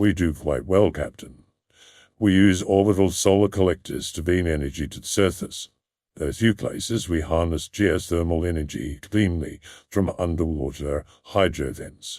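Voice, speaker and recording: On a very clean recording with a silent background, a man uses a put-on character voice pitched very deep and low, speaking at a moderate pace. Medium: audio drama. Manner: smooth, even-toned, polished.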